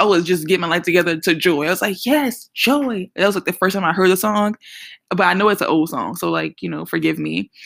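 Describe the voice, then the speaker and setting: A woman with a New Orleans accent talks very fast in an animated tone, her medium pitch showing ordinary variation and some vocal fry. The recording is very clean and dry, close-miked with no echo and a silent background. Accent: New Orleans Southern US. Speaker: podcast host and Bible teacher. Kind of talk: Bible teaching podcast talk. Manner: casual, animated.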